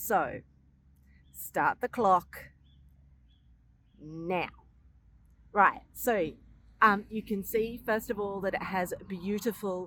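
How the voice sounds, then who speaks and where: In an Australian accent, a woman talks at a very slow pace. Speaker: gardening educator. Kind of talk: tutorial. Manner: animated.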